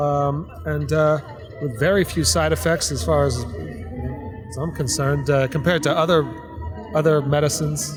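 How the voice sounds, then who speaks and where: A man speaks at a moderate pace with an American accent. Music plays in the background. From Florida, West Palm Beach. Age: 40s. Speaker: street interviewee, guitar player. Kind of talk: street interview. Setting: outdoors on a city street. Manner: halting, many fillers.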